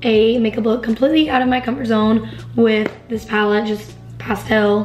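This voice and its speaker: Music plays behind a woman with a fairly high pitch. Her intonation is monotone and flat, and her pace is moderate. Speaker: beauty vlogger. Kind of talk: tutorial.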